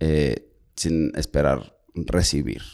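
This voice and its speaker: A man is speaking. His voice has vocal fry. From Monterrey, northern Mexico. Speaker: podcast co-host. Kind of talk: casual chat.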